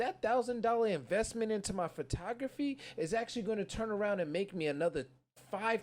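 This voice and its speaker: An animated tone in a New York accent at a fairly quick pace. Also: man. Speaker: podcast host. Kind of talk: casual chat. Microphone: poor audio.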